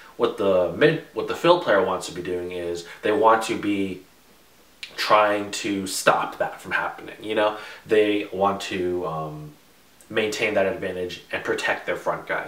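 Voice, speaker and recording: Audible room echo surrounds a man speaking at a fairly slow pace and fairly low pitch, with ordinary pitch variation. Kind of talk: tutorial.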